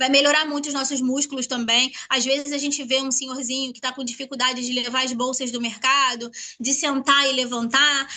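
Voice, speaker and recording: A woman's high-pitched, raised and projected voice, monotone and flat, at a fairly quick pace with hardly any pauses, over noticeable background noise. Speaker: product distributor presenter. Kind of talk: sales pitch. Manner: fast.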